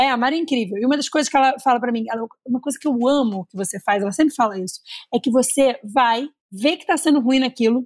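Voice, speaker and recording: High pitch from a woman, with a dry, close sound and no echo. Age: 30s. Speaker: content creator. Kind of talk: casual chat. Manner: talkative.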